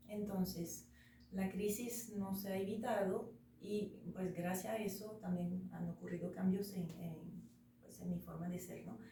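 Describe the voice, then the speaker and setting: In a French accent, a woman speaks at a medium pitch and a fairly slow pace, with fairly even intonation and big swings in loudness. Noticeable background noise and audible room echo fill the recording. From France. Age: 40s. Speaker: interview guest. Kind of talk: casual interview.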